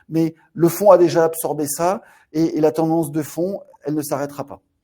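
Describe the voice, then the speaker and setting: This man has a fairly high pitch, a dark, mellow tone, fairly even intonation and a moderate pace. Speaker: fund manager. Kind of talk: webinar presentation. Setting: online webinar. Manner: halting, many repetitions.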